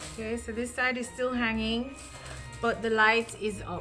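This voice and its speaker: Music plays in the background. A woman with a fairly high pitch speaks at a fairly slow pace. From Jamaica. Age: 30s. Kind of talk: casual DIY tutorial talk to camera.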